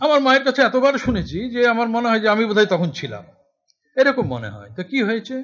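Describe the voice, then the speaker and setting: A man speaks in a high voice with ordinary pitch variation and big swings in loudness over a quiet background. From West Bengal, Murshidabad; West Bengal. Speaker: essayist and political activist; guest lecturer. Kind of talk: lecture. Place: classroom. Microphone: podium.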